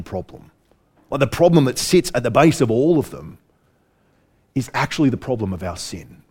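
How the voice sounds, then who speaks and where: Speaking at a fairly quick pace with an Australian accent, this voice has a dark, mellow tone and very wide pitch swings. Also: man. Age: 40s. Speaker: preacher. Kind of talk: sermon. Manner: repeats words, halting.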